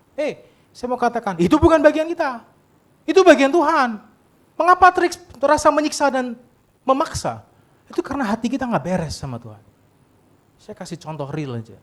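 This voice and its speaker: Animated and at a fairly quick pace, a man speaks at an extremely high pitch with very wide pitch swings, big swings in loudness, and long, frequent pauses. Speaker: pastor. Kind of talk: sermon. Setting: church service with congregation. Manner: animated, conversational with audience.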